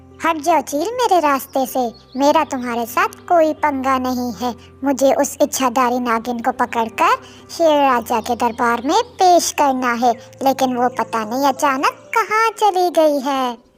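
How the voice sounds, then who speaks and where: A cartoonish character voice, female-sounding and high pitched, moves at a moderate pace. Faint music plays in the background. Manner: pushy, impatient.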